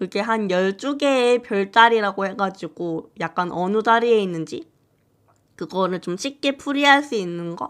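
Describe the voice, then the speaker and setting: A woman at medium pitch and a fairly slow pace, in a very clean recording with a silent background. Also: lively intonation. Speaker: fortune teller. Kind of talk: live stream chat. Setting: live stream.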